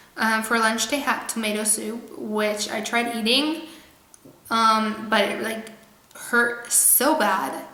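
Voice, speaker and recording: A woman speaks very slowly at a fairly high pitch with ordinary pitch variation, with audible room echo and noticeable background noise. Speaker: vlogger. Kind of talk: personal story vlog. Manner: casual, many fillers.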